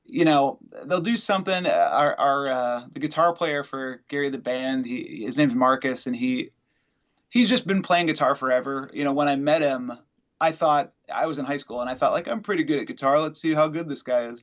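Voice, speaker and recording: A man with an American accent has an ordinary speaking voice at a fairly high pitch. He talks at a fairly quick pace with ordinary pitch variation. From Wisconsin. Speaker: musician. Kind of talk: casual interview.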